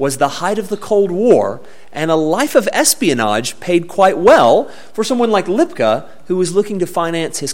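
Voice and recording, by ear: The intonation moves in a lively way. The text is read aloud in a natural voice.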